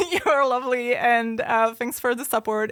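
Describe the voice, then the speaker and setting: A woman speaks with a non-native accent and ordinary pitch variation. The recording is very clean, with a silent background. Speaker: history podcast co-host. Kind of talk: casual chat.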